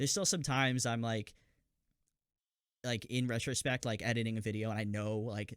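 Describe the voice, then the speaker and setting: A man speaks quietly at medium pitch and a fairly quick pace. His intonation is fairly even, broken by long, frequent pauses. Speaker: game master of a tabletop role-play show. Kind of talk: casual chat. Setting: online voice call.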